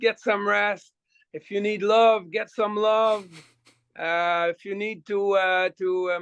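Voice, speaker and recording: A man's high-pitched voice with a slight French Canadian accent, fairly even in intonation and fairly slow in pace, sounding dry and close with no echo. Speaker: rock singer. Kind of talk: casual chat. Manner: halting with many repetitions.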